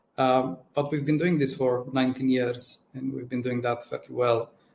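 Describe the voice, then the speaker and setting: In a Romanian accent, a man at medium pitch talks at a moderate pace, somewhat breathy, with monotone, flat intonation. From Romania, Transylvania (Cluj). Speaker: tech executive. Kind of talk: panel interview. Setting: live stream. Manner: halting, many repeated words.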